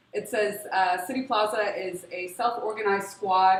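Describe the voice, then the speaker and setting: A medium-pitched woman at a moderate pace, her intonation fairly even, with noticeable background noise. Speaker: refugee aid worker. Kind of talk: panel talk.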